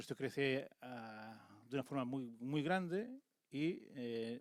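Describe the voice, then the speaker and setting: This is a man speaking. The sound is dry and close, with no echo. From Catalonia, Tarragona. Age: 50s. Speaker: conference speaker, former local official. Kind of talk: conference talk. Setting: stage with audience. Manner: fast.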